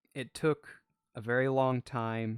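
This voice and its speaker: Monotone, flat delivery from a man, dry and close with no echo, with music in the background. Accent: Southern US. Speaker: VTuber streamer. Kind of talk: casual live-stream chat. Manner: slow, laid-back.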